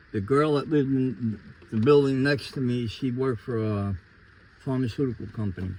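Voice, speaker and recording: A man talks with a New York accent at a medium pitch. He moves at a fairly quick pace with ordinary pitch variation. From New York City, Queens (Ridgewood). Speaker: interviewee giving life testimony. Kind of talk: testimony.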